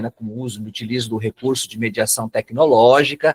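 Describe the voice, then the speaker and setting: A man at a medium pitch rushes along at a very fast pace with fairly even intonation, the sound dry and close with no echo. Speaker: psychoanalyst and lecturer. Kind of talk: webinar lecture. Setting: online webinar.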